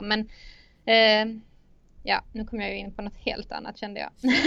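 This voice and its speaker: A woman's medium-pitched voice with vocal fry. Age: 30s. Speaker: engineering student. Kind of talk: interview. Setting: studio. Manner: halting.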